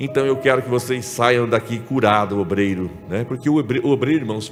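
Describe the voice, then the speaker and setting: Over music in the background, a man talks at a medium pitch and a fairly quick pace with ordinary pitch variation. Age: 60s. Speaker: pastor. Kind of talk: sermon. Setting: church symposium with audience. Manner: conversational, frequent check-ins with audience.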